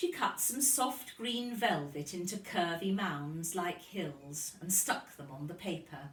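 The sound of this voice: The voice has a fairly bright tone and a slow pace, with audible room echo. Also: woman, fairly low pitch for a woman, ordinary pitch variation.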